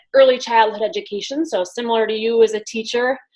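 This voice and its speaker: A woman with a Wisconsin accent speaks at a fairly quick pace, fairly high in pitch, with ordinary pitch variation. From US Midwest, Wisconsin. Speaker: business coach. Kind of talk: interview.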